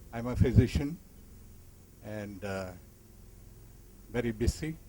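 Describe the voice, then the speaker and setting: A man talks at a fairly slow pace with ordinary pitch variation. His tone is dark and mellow, and somewhat breathy. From India, Tamil Nadu. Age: 70s. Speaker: physician. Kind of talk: casual reminiscence. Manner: halting.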